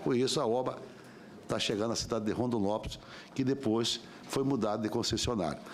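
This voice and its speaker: Heard with audible room echo, a man talks at a fairly quick pace with long, frequent pauses, ordinary pitch variation and very even loudness. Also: medium pitch for a man. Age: 60s. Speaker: senator. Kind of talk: public hearing questioning. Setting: senate committee hearing.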